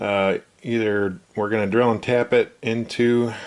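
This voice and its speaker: With fairly even intonation, the man talks while noticeable background noise plays behind him. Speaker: machinist repairing equipment. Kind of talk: workshop tutorial. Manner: casual with frequent fillers.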